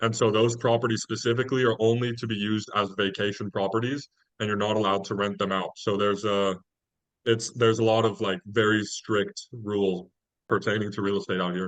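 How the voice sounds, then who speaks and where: A man with an American accent talks fairly quickly in a fairly low voice, his intonation monotone and flat. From California. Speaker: university student. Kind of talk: casual chat.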